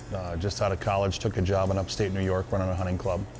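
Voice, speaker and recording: Someone speaks at a fairly quick pace with an American accent, with music in the background and audible room echo. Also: man. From Minnesota. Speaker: hunting club owner. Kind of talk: interview. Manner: casual, with frequent fillers.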